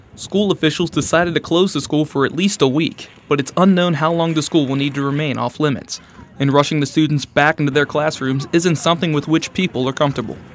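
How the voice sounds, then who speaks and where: Over music in the background, a man with a fairly high pitch talks at a very fast pace with hardly any pauses and fairly even intonation. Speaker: sports and news reporter, college student. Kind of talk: broadcast news and sports reporter delivery.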